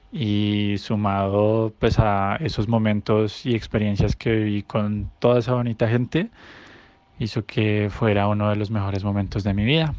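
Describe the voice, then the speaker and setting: An ordinary speaking voice from a man, fairly low and fairly slow, with fairly even intonation. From Colombia, Bogotá. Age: 20s. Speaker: former exchange student. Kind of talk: recorded testimonial.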